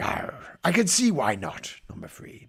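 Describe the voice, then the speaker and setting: Putting on a character voice, a man speaks at a moderate pace with a high pitch. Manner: silly, comic.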